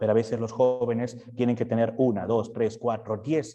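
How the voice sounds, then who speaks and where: Somewhat breathy, a man speaks with a dark, mellow tone at a moderate pace. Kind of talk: talk to parents.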